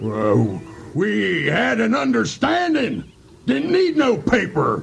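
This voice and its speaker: Using a put-on character voice, a man speaks at a very slow pace. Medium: audio drama. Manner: gruff, blustering.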